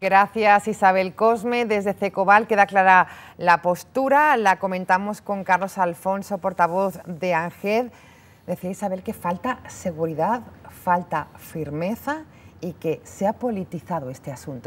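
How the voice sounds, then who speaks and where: A woman at a fairly slow pace, with big swings in loudness and ordinary pitch variation. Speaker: TV news presenter. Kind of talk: news presenting. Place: studio. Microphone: lapel.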